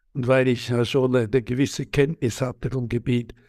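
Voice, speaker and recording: A man talks at a medium pitch. The recording is very clean, the background silent. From Switzerland. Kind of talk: interview. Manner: halting, many hesitations.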